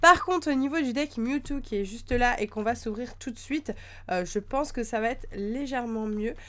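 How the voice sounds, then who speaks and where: The woman's voice is high in pitch, moving at a moderate pace. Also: ordinary pitch variation. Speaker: YouTuber opening trading card decks. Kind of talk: unboxing video, casual talk to camera. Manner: hesitant, many fillers.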